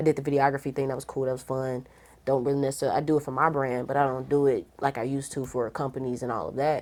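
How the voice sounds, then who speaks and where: Speaking very fast in an animated tone, a woman with a St. Louis accent has a very deep, low pitch. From St. Louis, Missouri. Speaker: radio host. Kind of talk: casual interview chat.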